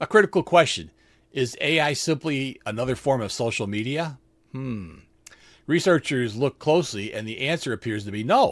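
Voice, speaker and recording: In a very clean recording with a silent background, a man with an unremarkable speaking voice talks at a moderate pace and medium pitch, using lively intonation. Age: 60s. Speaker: nurse, health news podcast host. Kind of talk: scripted health news explainer. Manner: reads script with casual asides.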